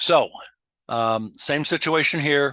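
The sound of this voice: Slowly, a man talks in a bright, sharp tone. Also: fairly high pitch for a man, ordinary pitch variation, dry, close sound with no echo.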